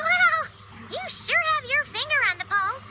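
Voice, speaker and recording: An extremely high, cartoonish character voice moves at a fairly slow pace. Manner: bubbly, excitable.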